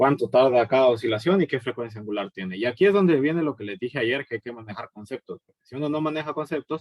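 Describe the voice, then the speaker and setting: With hardly any pauses, a man races along at a very fast pace with lively intonation and big swings in loudness, in a dry, close sound with no echo. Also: medium pitch for a man. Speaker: physics teacher. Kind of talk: recorded lecture. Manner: hesitant, many fillers.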